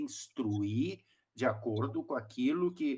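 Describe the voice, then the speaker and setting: Speaking at medium pitch, a man sounds somewhat breathy. He goes at a fairly slow pace with very wide pitch swings. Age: 60s. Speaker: pastor. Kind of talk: podcast discussion. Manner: halting.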